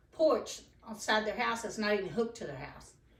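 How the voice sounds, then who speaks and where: The speaker has an American accent and keeps a moderate pace. Room echo is audible. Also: woman. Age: 60s. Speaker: property owner and community activist. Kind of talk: casual informational talk.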